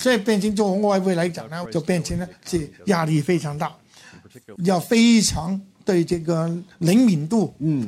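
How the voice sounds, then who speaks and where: A man's high-pitched voice with a dark, mellow tone, a fairly slow pace and ordinary pitch variation. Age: 70s. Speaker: forex investment veteran. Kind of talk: interview. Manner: halting.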